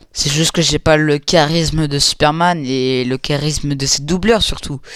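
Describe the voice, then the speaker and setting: A man at a fairly high pitch, speaking at a fairly slow pace with fairly even intonation, over noticeable background noise. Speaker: animator and YouTuber reacting to reactions. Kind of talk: reaction video commentary. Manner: halting, many fillers.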